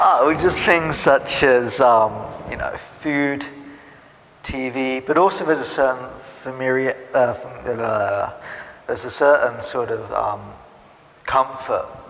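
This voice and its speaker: Over noticeable background noise, a man with an English accent speaks at a fairly slow pace with long, frequent pauses. His voice is medium-pitched with ordinary pitch variation. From England (Norwich, Norfolk). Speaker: immigrant interviewee. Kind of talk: interview.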